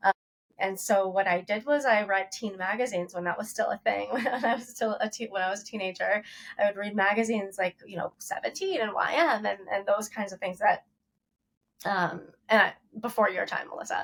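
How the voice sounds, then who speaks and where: With an ordinary speaking voice, a woman moves fairly quickly through her words, her mid-range pitch varying normally. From Ohio, US Midwest. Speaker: toy company founder, former magazine editor. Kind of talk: podcast interview. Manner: conversational, some self-corrections.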